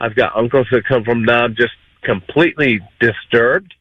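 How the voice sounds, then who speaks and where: An unremarkable speaking voice from a man, with ordinary pitch variation at a moderate pace. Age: 60s. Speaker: caller. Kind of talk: call-in talk radio.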